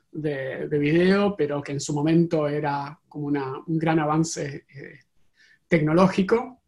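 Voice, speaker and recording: At a fairly slow pace, a man with a fairly high pitch speaks with ordinary pitch variation and big swings in loudness. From Argentina. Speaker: tech company CEO. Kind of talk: interview. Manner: halting.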